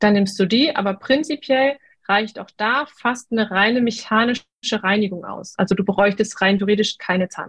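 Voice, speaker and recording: Speaking at a moderate pace, a woman uses a fairly high, somewhat breathy voice with ordinary pitch variation. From North Rhine-Westphalia, Germany. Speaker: dentist. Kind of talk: casual interview. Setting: video group call.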